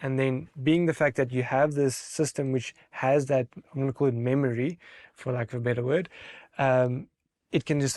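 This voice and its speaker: The recording is very clean, with a silent background and a dry, close sound with no echo. A man speaks at medium pitch and moderate pace with fairly even intonation. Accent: non-native. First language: not English. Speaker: technology expert. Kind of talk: interview. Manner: halting.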